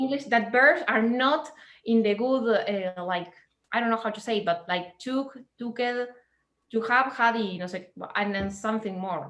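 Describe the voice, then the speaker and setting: A speaker with a Spanish accent talks at a moderate pace. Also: woman, fairly high pitch for a woman, ordinary pitch variation. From Latin America. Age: 20s. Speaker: cardist. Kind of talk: interview conversation. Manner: halting.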